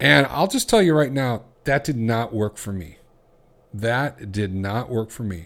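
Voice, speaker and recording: A man talks at a moderate pace with lively intonation. He has an unremarkable speaking voice. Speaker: podcast host and coach. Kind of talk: angry rant, a coach's fiery sales-pitch scolding aimed at listeners. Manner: loud, hard-driving, confrontational, blunt and accusatory.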